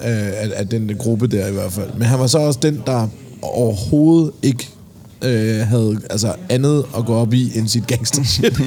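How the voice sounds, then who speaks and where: Fairly slow speech with ordinary pitch variation amid noticeable background noise. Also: man, medium pitch for a man. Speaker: podcast host. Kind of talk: casual chat. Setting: pub.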